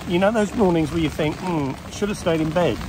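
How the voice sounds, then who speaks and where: A man speaks with ordinary pitch variation. The sound is dry with no echo, but there is noticeable background noise. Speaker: fishing vlogger. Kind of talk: casual vlog chat. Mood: wry, good-humoured. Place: tent. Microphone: phone near.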